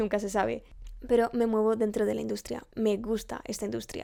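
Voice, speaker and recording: Fairly high in pitch, a woman with an unremarkable speaking voice talks at a fairly quick pace in a very clean recording with a silent background. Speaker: vlogger and university student. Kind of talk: casual vlog to camera. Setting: home recording setup.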